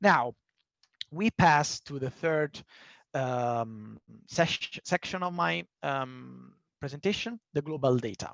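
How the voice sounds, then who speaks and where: A man with an Italian accent speaks at a very slow pace and fairly high pitch, with very wide pitch swings and long, frequent pauses. The sound is dry and close with no echo, against a quiet background. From Italy. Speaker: panel speaker on human rights. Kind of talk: presentation in online panel discussion. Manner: halting, with fillers.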